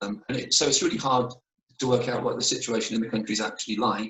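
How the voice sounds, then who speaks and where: With a British accent, a man talks at a very fast pace. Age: 60s. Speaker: mission worker. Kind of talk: casual chat. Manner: hesitant, many fillers.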